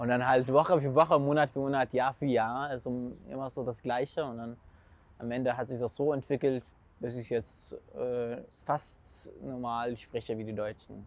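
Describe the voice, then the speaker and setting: Fairly even intonation carries a man's medium-pitched voice at a moderate pace. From Syria. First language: Arabic (speaking German). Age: 20s. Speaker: food blogger and school student. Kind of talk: casual interview. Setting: outdoors in city. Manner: halting.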